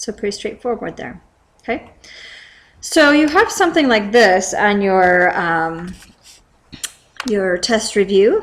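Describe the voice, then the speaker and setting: Her intonation is lively and her pace fairly slow, a woman at medium pitch with an unremarkable speaking voice. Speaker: math teacher. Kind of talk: tutorial.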